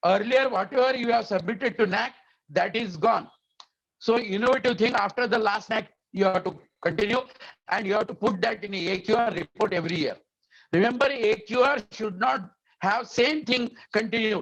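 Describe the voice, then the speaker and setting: His pace is moderate. A man speaks, high in pitch. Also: ordinary pitch variation. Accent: Indian. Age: 70s. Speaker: education quality expert, webinar speaker. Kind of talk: lecture. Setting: webinar over internet. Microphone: unstable internet connection.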